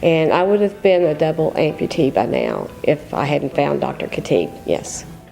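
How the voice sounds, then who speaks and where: Over music in the background, a woman speaks at a moderate pace with hardly any pauses. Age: 60s. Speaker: patient, pediatric nurse. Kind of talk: testimony.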